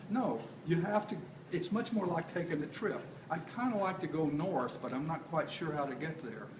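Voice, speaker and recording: Amid audible room echo and noticeable background noise, a man with a high pitch speaks at a moderate pace with lively intonation. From Texas. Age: 70s. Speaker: composer. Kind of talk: casual talk to an audience. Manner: halting, many fillers.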